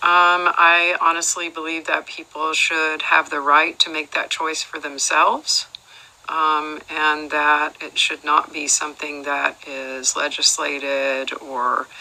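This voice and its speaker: Through noticeable background noise, a woman with a very deep, low pitch speaks very slowly in a monotone, flat intonation. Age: 60s. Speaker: role-play juror. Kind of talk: role-play interview. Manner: hesitant, many fillers.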